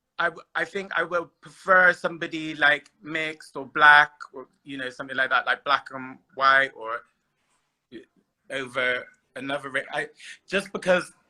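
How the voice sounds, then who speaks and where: In a Bristol accent, a man speaks with a bright, sharp tone and a fairly high pitch that varies in an ordinary way. His pace is moderate, broken by long, frequent pauses. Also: big swings in loudness. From Bristol, England. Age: 30s. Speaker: guest on dating live stream. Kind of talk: casual chat.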